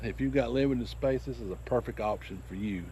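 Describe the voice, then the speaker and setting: Here a man has an ordinary speaking voice with a medium pitch. He talks at a fairly quick pace. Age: 60s. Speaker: farmer. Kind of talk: tutorial. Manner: casual, rambling with fillers.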